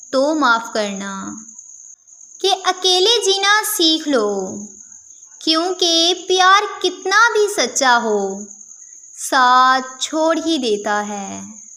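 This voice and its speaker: A woman projects her raised voice at an extremely high pitch, swinging through very wide pitch changes. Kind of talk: poetry reading.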